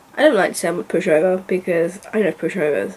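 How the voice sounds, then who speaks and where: A woman with a British accent over noticeable background noise. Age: 30s. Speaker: book vlogger. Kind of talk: casual vlog monologue. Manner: soft-spoken; halting.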